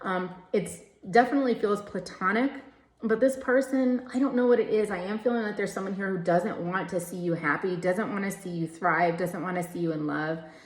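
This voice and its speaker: A woman speaks at a fairly quick pace and medium pitch with ordinary pitch variation. There is noticeable background noise. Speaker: tarot card reader. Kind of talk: tarot reading. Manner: speeds up when channeling; casual, filler-heavy.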